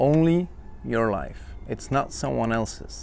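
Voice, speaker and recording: With a non-native accent, a man talks at a fairly slow pace. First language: not English. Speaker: podcaster, self-help coach. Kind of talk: casual monologue. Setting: outdoor-ish home location, not a studio. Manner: hesitant, many fillers.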